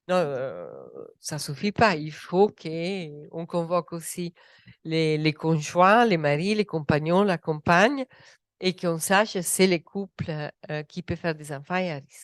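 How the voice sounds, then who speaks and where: A woman with an Italian accent and a fairly low voice speaks at a very slow pace with big swings in loudness, in a dry, close sound with no echo against a quiet background. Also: ordinary pitch variation. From Italy. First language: Italian (speaking French). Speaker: medical doctor, researcher. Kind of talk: panel discussion. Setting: round table with audience.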